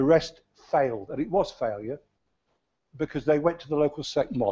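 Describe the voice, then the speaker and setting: A man talks with an East Midlands accent. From English Midlands, Leicester. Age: 70s. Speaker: county councillor, retired teacher. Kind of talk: council debate speech. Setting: council chamber. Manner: hesitant, repeats words.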